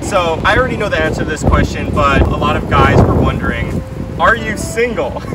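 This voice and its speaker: Loud background noise surrounds a man's voice in a dry sound with no echo. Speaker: skateboarder, interviewer. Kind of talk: casual interview host talk to camera. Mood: laughing, playful. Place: street.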